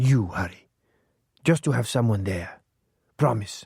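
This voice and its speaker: Using a put-on character voice, a man speaks raspy and at medium pitch, at a moderate pace with lively intonation. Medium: read story. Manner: clingy, overfamiliar.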